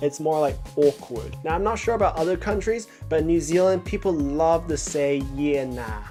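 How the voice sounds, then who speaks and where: Over music in the background, a man with a fairly high pitch speaks in an upbeat tone at a moderate pace, using ordinary pitch variation. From New Zealand. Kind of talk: casual talk to camera.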